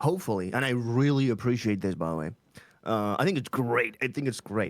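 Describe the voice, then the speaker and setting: This man talks fairly quickly. He has a Spanish accent. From Chile. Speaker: streamer and English teacher. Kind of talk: interview.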